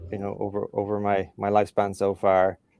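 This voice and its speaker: In an Irish accent, a man speaks at a fairly low pitch in a very clean recording with a silent background and a dry, close sound with no echo. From Ireland. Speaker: career development professional. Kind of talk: podcast interview.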